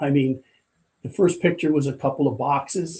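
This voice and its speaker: In a New York accent, a man talks at a moderate pace with a fairly high pitch and a dark, mellow, somewhat breathy tone. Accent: New York area American. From US Northeast, Port Jervis, New York. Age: 70s. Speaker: retired firefighter and corrections officer. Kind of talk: casual interview chat. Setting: studio.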